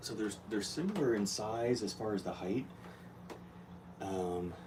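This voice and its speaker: Through audible room echo and noticeable background noise, a man speaks at a fairly slow pace and fairly low pitch with ordinary pitch variation. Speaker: aquarium hobbyist vlogger. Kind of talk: casual tutorial vlog. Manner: soft-spoken.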